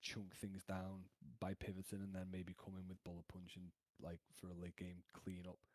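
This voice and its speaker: This man's voice is very deep and low, with a monotone, flat intonation. He keeps a moderate pace, and the sound is dry and close with no echo. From UK. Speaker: competitive Pokemon player. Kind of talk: casual discussion.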